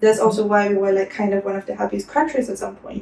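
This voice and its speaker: A woman is speaking here. Her intonation is flat and monotone. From Denmark, Copenhagen, Ecuadorian family. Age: 20s. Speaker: immigrant interviewee. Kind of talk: interview, casual chat.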